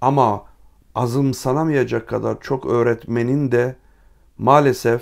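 Recorded very cleanly against a silent background, a man speaks at a fairly slow pace. His medium-pitched voice has a monotone, flat intonation. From Trabzon, Turkey. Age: 50s. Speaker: writer and travel YouTuber. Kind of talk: Q&A monologue to viewers. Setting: library.

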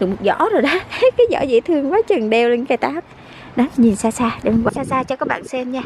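High-pitched female voice with lively intonation at a moderate pace, dry with no echo, over noticeable background noise. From Vietnam. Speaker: vlogger. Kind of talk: casual vlog narration. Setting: outdoors. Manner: animated. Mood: cheerful, delighted. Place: garden. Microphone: phone near.

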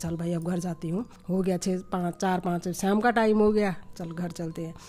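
A dark, mellow tone at a moderate pace, with fairly even intonation. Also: woman. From Uttarakhand, India. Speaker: vlogger's mother. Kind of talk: storytelling. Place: home room. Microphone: phone near.

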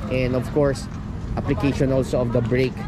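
A man speaks with a dry sound and no echo. Noticeable background noise is present. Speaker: cycling coach. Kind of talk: commentary. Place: street. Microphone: phone near.

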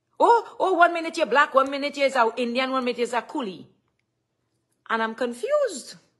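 Against a quiet background, a woman with a Trinidadian accent talks at a fairly quick pace, her high voice carrying an animated tone and lively intonation. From Trinidad and Tobago. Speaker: live streamer. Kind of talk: live stream rant. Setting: live stream at home. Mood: upset, indignant. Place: home room. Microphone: phone near.

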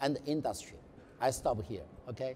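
With a Mandarin accent and a dark, mellow tone, a man talks at a moderate pace over light background noise. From China. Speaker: heart surgeon; panellist. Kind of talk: panel talk. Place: hall.

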